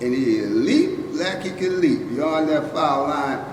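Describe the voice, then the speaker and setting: Ordinary pitch variation from a man, heard over noticeable background noise. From Bronx, New York. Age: 80s+. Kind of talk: interview answer.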